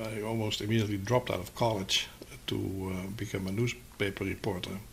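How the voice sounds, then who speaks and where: A man with a Dutch accent speaks at a moderate pace in a fairly low pitch. His intonation is monotone and flat. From Netherlands, Amsterdam. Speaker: publishing company co-founder. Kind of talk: interview. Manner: halting, many fillers.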